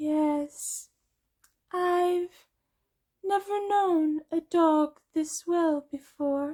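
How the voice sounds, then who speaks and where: In a put-on character voice, a female-sounding speaker uses an extremely high pitch at a very slow pace, broken by long, frequent pauses. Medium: read story. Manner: calm, terse.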